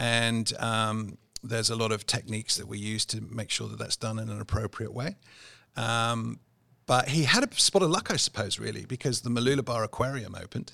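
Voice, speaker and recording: This man has a bright, sharp tone with vocal fry. He talks at a fairly quick pace, and his intonation stays fairly even. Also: medium pitch for a man, very clean recording, silent background. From England, Cotswolds. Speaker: business executive. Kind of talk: interview.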